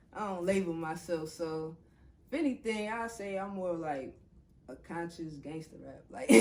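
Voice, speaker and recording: A woman's fairly low voice with a New Orleans accent, lively intonation and a moderate pace, big swings in loudness, and audible room echo. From New Orleans, US South. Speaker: rapper. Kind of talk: interview. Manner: casual.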